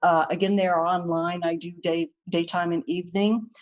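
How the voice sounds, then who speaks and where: A woman's normal speaking voice at medium pitch, with ordinary pitch variation and a quiet background. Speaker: licensed counselor. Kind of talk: webinar presentation Q and A. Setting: online webinar.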